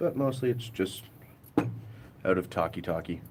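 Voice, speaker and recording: Noticeable background noise sits behind a man speaking at a moderate pace. His pitch is fairly low. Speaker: car DIY vlogger. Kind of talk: casual live-stream chat while working on a car. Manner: loud, voice carries. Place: street. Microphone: phone near.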